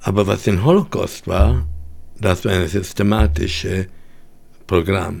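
A man with a very deep, low voice speaks very slowly, leaving long, frequent pauses. He sounds somewhat breathy, and his pitch varies in an ordinary way. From Vienna, Austria and Hungary. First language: English in daily life, German rusty (speaking German). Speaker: Holocaust survivor. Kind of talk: testimony. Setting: studio.

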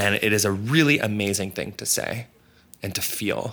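With a bright, sharp tone and lively intonation, a man speaks at a fairly slow pace. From Canada (Toronto). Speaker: artist and author. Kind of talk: casual interview.

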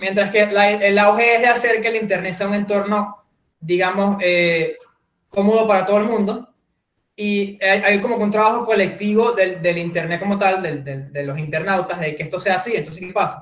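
A man with a Venezuelan accent speaks at a high pitch. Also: fairly even intonation, moderate pace. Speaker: podcast guest. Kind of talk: casual chat.

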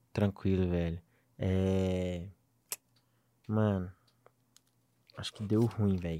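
Very slow, monotone delivery from a man with a very deep, low pitch and a dark, mellow tone, full of long, frequent pauses, on a very clean recording with a silent background. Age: 20s. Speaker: digital marketing entrepreneur. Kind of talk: casual chat.

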